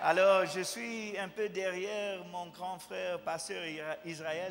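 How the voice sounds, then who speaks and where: Through noticeable background noise and audible room echo, a man with a non-native accent uses a raised, projected voice, high-pitched, at a fairly slow pace. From USA. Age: 40s. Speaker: visiting pastor. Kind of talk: sermon. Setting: church with congregation. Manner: halting, self-correcting French.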